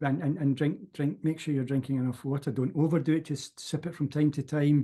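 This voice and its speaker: A man talks at a fairly quick pace in a fairly high, somewhat breathy voice with a dark, mellow tone and fairly even intonation. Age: 60s. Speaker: self-development course teacher. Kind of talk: casual interview chat.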